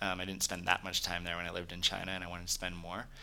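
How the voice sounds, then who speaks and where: A bright, sharp tone with an American accent. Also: man. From California, Silicon Valley. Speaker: tech startup founder. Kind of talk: interview.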